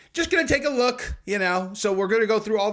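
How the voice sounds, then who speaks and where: Over noticeable background noise, a man talks at a very fast pace in a raised, projected voice with very wide pitch swings. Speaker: MMA commentary YouTuber. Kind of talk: commentary vlog.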